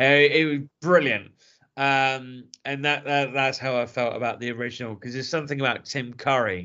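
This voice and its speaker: A man with an English accent at a moderate pace. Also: medium pitch for a man. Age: 30s. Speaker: podcast host. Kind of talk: casual chat. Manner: animated.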